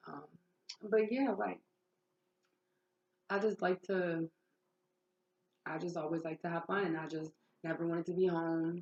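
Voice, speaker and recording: A woman's fairly low voice with ordinary pitch variation, a fairly slow pace and long, frequent pauses. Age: 20s. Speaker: vlogger sharing life story. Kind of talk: personal testimony. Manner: loud; talkative, casual.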